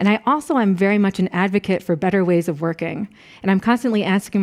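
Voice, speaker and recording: A woman with an American accent talks at a fairly quick pace with ordinary pitch variation. The sound is dry and close, with no echo. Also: very clean recording, silent background. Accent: American, noticeable to German audience. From US Northeast, Rochester, New York. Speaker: professor. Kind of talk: lecture.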